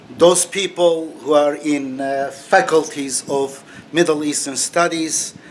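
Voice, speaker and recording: Over noticeable background noise, a fairly high-pitched man speaks very slowly in a flat monotone. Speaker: religious author and critic. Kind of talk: monologue video commentary. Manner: halting, with many fillers.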